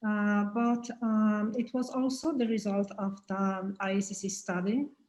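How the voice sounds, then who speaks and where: At a fairly slow pace, a woman speaks with a somewhat breathy voice. Her pitch is medium and her intonation fairly even. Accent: Romanian. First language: Romanian. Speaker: pathology professor. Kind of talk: panel discussion. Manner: halting, many fillers.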